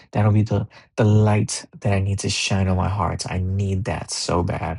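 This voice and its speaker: Somewhat breathy and fairly low in pitch, a man speaks at a fairly slow pace with monotone, flat intonation. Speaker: basketball commentator YouTuber. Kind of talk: casual solo commentary vlog. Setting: home recording late at night. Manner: casual, profane.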